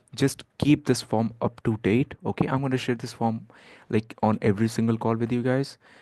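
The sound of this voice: A man talks at a fairly quick pace in a dark, mellow tone, his pitch medium and his intonation fairly even.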